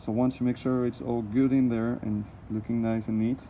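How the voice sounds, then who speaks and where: A man with a non-native accent, medium pitch, fairly quick pace. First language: not English. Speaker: DIY car repair vlogger. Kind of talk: tutorial. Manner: halting; hurried.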